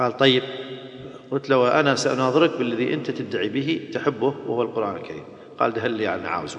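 Ordinary pitch variation and a moderate pace come through over noticeable background noise. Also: man, medium pitch for a man. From Iraq. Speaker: Islamic preacher.

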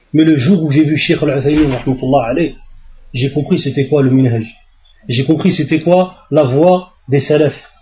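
Somewhat breathy and fairly high in pitch, a man speaks at a very slow pace. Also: fairly even intonation, very even loudness. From France, suburbs. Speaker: Islamic preacher. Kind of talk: religious lecture. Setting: mosque.

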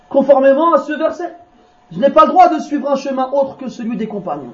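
Extremely high pitch from a man at a fairly quick pace, with audible room echo and noticeable background noise. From France. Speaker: Islamic preacher. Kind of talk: religious lecture. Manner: informal, conversational asides.

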